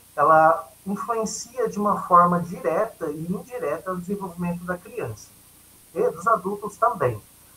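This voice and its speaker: Talking at a fairly slow pace, a man uses lively intonation in a high pitch. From Brazil, São Paulo state (Catanduva). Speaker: educator, workshop trainer. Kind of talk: lecture. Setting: video call.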